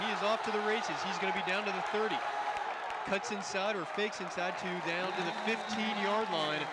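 Against noticeable background noise, a man speaks at a high pitch in an excited tone. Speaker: play-by-play announcer. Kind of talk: live sports play-by-play commentary. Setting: broadcasting live from a football game. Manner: fast, rapid-fire play-by-play delivery, excited at touchdowns; animated.

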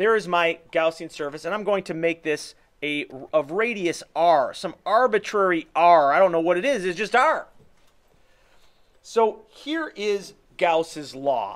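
Over a quiet background, a man talks at a high pitch and a fairly slow pace, with ordinary pitch variation. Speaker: physics instructor. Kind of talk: lecture. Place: office. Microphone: webcam.

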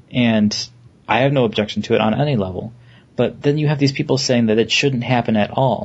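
Speaking at a fairly quick pace, a man with a medium pitch sounds somewhat breathy, keeping very even loudness and fairly even intonation. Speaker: podcast host. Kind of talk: casual chat.

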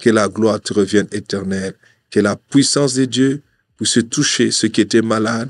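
A man at a moderate pace with fairly even intonation, in a dry sound with no echo and a quiet background. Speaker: preacher. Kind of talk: sermon with prayer. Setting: studio. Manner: fervent, declamatory, earnest, pleading. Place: studio. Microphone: studio mic.

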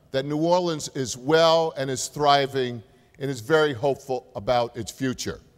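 A man with a New Jersey accent talks at a moderate pace against a quiet background. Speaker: university president; keynote speaker. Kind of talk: keynote speech. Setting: stage with audience. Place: hall. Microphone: podium.

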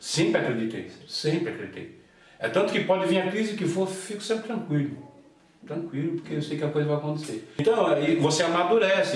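Audible room echo surrounds the recording. A man speaks at a moderate pace with a high pitch. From Brazil, São Bernardo do Campo (São Paulo area); São Paulo, Brazil. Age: 50s. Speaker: house painter, professional association president; interview guest. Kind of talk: interview. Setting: at home. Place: home room.

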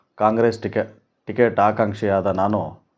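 A man talks at a fairly low pitch in a flat monotone. The background is quiet. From Kolar district, Karnataka, India. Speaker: doctor and political aspirant. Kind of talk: campaign statement to press. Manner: halting.

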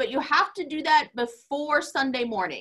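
Against a quiet background, a woman projects her voice with a bright, sharp tone. She speaks fairly slowly. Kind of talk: announcements before worship. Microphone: video call.

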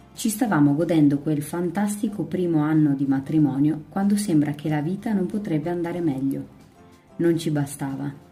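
A woman speaks in a very deep, low voice with ordinary pitch variation. Music plays in the background. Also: moderate pace. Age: 20s. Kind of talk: audiobook reading.

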